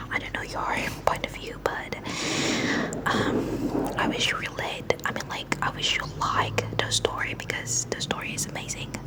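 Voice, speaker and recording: A whisper comes through with noticeable noise in the background. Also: moderate pace. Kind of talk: casual talk to camera. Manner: whispered, soft.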